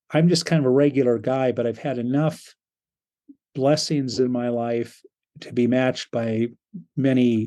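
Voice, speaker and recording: Fairly even in intonation, a man talks at a moderate pace in a medium pitch. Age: 60s. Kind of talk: interview. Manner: halting, with many fillers.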